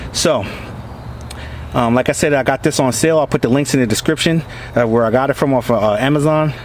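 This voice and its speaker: The speech comes at a very fast pace with very even loudness. Noticeable background noise runs underneath. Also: man. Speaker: product reviewer vlogger. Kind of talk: product review. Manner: hesitant, many fillers.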